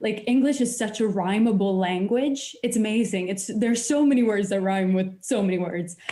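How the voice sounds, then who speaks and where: A woman with a Swedish accent, fairly high pitch, ordinary pitch variation and moderate pace. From Sweden. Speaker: musician and translator. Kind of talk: casual chat.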